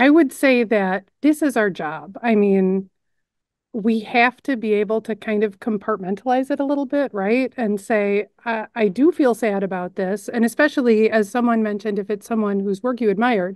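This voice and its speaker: Speaking at a moderate pace with an American accent, a woman uses a fairly high pitch and ordinary pitch variation, the sound dry and close with no echo against a quiet background. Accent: Chicago accent, some hear Wisconsin. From Chicago suburbs, US Midwest. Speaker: news editor and narrator. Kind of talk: casual Q&A chat.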